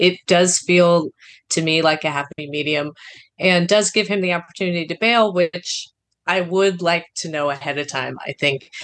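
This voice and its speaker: A woman's fairly low-pitched voice at a moderate pace, with fairly even intonation. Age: 30s. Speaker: caller seeking relationship advice. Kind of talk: advice call. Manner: halting.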